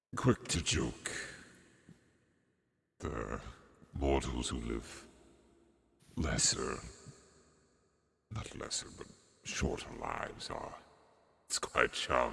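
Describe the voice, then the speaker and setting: A man uses a put-on character voice with a very deep, low pitch. He talks at a very slow pace, with long, frequent pauses. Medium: actual play. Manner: slow, formal, grandfatherly.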